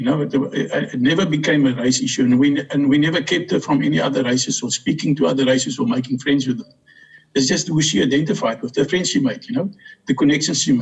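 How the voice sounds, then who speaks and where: In a South African accent, a man with a fairly high pitch talks at a very fast pace with lively intonation. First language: Afrikaans. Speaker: interviewee, adoptive brother. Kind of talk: interview. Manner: halting.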